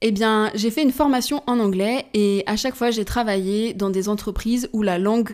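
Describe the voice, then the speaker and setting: A woman with an unremarkable speaking voice and fairly high pitch talks at a moderate pace with fairly even intonation, in a very clean recording over a silent background. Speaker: podcast host. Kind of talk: solo podcast monologue.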